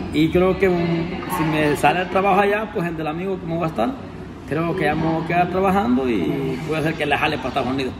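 Noticeable background noise runs behind a man talking at a fairly quick pace. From Honduras. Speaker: YouTuber. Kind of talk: casual chat. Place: cafe. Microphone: phone near.

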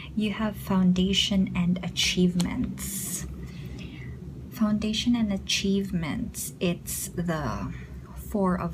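Very slow pace over noticeable background noise. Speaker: tarot reader, video host. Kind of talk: tarot reading narration. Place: home room.

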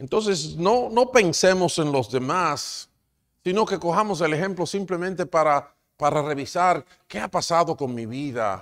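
Pitched high, a man speaks at a fairly slow pace with very wide pitch swings. The background is quiet. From Dominican Republic. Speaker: pastor. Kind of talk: sermon. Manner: halting. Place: church. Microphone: lapel.

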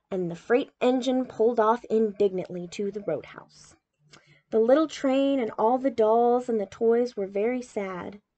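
Speaking at a fairly slow pace, a woman has a fairly high pitch and a dark, mellow tone. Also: ordinary pitch variation.

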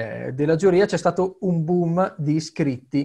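A man speaks at a fairly slow pace with a fairly high pitch. The background is quiet. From Italy. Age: 20s. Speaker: orchestra conductor. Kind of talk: interview. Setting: video call from home. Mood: relaxed, storytelling. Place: home room. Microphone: webcam.

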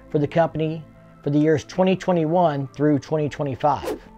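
Faint music in the background accompanies a man speaking. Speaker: motorcycle enthusiast vlogger. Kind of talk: commentary. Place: garage. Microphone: webcam.

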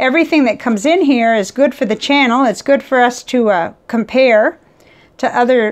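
At a moderate pace, a woman speaks at a high pitch with ordinary pitch variation. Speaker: ink hobbyist vlogger. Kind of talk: casual tutorial chat. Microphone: lapel.

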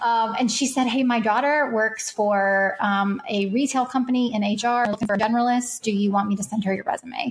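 A woman's unremarkable speaking voice with an American accent, fairly high-pitched, fairly quick and with hardly any pauses, ordinary pitch variation and very even loudness. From Kentucky, US. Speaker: HR consultant. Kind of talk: casual interview chat.

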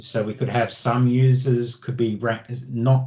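Over a quiet background, a man with an Australian accent speaks in a monotone, flat intonation. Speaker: IT automation expert presenting at user group; presenter. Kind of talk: technical presentation with screen demo. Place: home room. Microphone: video call.

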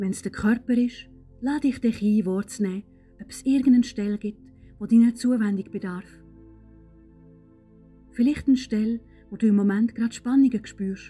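A woman's fairly high voice in a Swiss accent, fairly even in intonation, at a moderate pace with long, frequent pauses and big swings in loudness, music in the background. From Switzerland. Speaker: meditation guide. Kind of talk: guided meditation.

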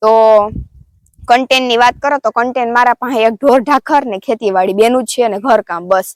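Her voice is a normal speaking voice, with fairly even intonation. The woman is recorded with a dry, close sound and no echo. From Porbandar district, Saurashtra, Gujarat. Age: 20s. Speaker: village vlogger with cattle. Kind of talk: casual Q&A vlog.

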